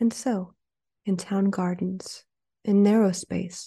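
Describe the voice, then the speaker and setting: Against a quiet background, a woman with a medium pitch speaks in a dark, mellow, somewhat breathy tone with monotone, flat intonation. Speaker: podcast host reading poem. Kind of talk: poem reading, scripted intro and outro.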